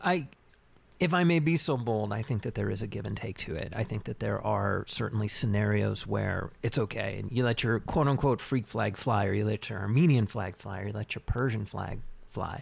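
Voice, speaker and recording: A man uses a normal speaking voice, somewhat low in pitch, and talks at an average speed. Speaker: podcast co-host. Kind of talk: casual chat.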